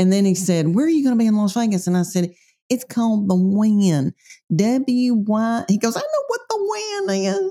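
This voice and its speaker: This woman speaks with a Tennessee accent, her pitch fairly high with ordinary variation. Her tone is dark and mellow, somewhat breathy, and her loudness stays very even. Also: moderate pace. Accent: Southern US, Tennessee. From Middle Tennessee. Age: 50s. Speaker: comedian. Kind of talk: casual interview chat.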